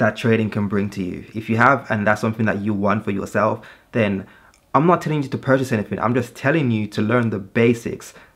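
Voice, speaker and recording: On a very clean recording with a silent background, a man speaks at a fairly quick pace with medium pitch and ordinary pitch variation. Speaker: forex trading youtuber. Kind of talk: tutorial. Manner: fast; halting, with many fillers and restarts.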